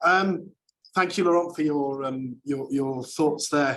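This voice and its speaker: With a Welsh accent, a man speaks at a moderate pace in a fairly high voice with fairly even intonation. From Wales. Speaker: university academic. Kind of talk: panel discussion. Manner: hesitant, many fillers.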